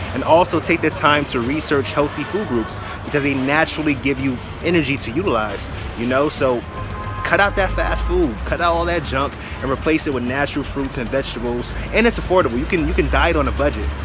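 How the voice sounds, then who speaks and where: Fairly quick male speech, dry with no echo, over music in the background. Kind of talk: casual vlog chat. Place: street. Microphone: phone near.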